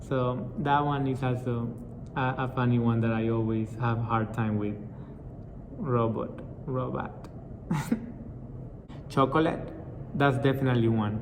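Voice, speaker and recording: A man with a Spanish accent speaks in a medium pitch with fairly even intonation. He leaves long, frequent pauses over noticeable background noise. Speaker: multilingual vlogger. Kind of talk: casual talk to camera.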